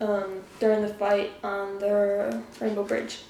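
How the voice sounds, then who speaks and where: Mumbling at a very slow pace, a woman speaks at a medium pitch with audible room echo around her. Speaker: YouTuber. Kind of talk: casual solo trivia game. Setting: living room. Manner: mumbling, slurred words.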